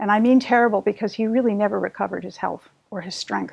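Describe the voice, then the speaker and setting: A woman with a fairly high pitch speaks with vocal fry. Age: 70s. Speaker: patient. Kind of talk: testimony.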